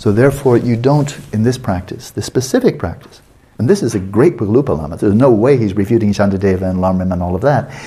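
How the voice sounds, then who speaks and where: Talking very fast, a man uses a medium pitch and a dark, mellow tone that is somewhat breathy, with ordinary pitch variation. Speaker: Buddhist meditation teacher. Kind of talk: lecture. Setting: meditation retreat.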